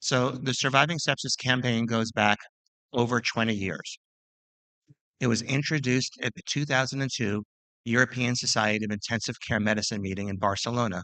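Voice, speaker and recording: A man speaks with a dry, close sound and no echo. His tone is bright and sharp, with fairly even intonation. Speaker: physician and sepsis researcher. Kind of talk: lecture. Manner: fast.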